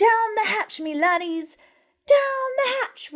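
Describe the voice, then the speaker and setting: A woman bellows loudly in a squeaky, put-on character voice. Her pitch is extremely high and her pace fairly slow. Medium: read story. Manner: bellowing, loud.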